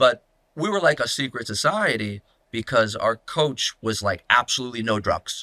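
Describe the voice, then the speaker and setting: Lively intonation and a bright, sharp tone come through in an American accent at a fairly quick pace with long, frequent pauses, in a dry, close sound with no echo on a very clean recording with a silent background. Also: man, medium pitch for a man. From Massachusetts (Newton). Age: 30s. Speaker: former elite runner. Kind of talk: podcast interview. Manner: laid-back.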